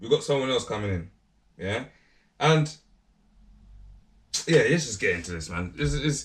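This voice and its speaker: A man with vocal fry speaks at a moderate pace and medium pitch, with very wide pitch swings. Long, frequent pauses break up his speech on a very clean recording with a silent background. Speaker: YouTube commentator. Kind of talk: casual vlog commentary. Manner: animated; loud.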